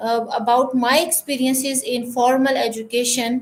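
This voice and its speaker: The pace of this woman's speech is fairly slow. Her voice sits high in pitch. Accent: Pakistani. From Pakistan. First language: Urdu. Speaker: school principal. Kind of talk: casual chat. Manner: halting.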